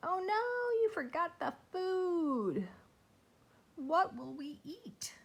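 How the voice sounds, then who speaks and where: Using a put-on character voice, a woman talks at a very slow pace and an extremely high pitch. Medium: read story.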